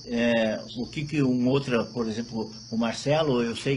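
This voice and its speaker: A man talks at a moderate pace and medium pitch with ordinary pitch variation. Noticeable background noise runs under his voice. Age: 60s. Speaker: moringa producer. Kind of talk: casual chat; testimony.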